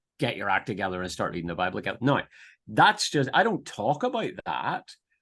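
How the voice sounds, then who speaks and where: In a Northern Irish accent, a man speaks against a quiet background. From Northern Ireland, near Belfast. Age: 50s. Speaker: pastor and theological teacher. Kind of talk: podcast interview. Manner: hesitant, many repetitions and fillers.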